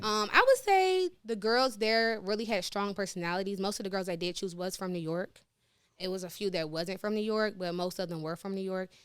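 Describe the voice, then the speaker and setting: With an American accent, a woman speaks at a fairly quick pace, her medium-pitched voice fairly even in intonation. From Virginia, small country town. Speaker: dancer and reality TV contestant. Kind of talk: casual podcast interview. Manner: soft-spoken.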